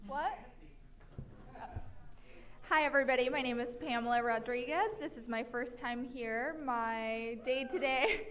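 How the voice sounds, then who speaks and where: Audible room echo and noticeable background noise fill the clip. The speech goes at a fairly slow pace with long, frequent pauses and ordinary pitch variation. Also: woman, high pitch for a woman. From Mexico. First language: Spanish. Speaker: financial planner. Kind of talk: self-introduction at meetup.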